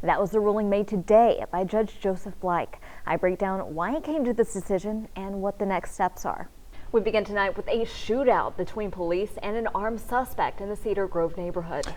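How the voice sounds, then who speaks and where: In a very clean recording with a silent background, a woman with a normal speaking voice and a medium pitch talks with ordinary pitch variation. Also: moderate pace. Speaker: TV news anchor and reporter. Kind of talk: TV news anchor delivery.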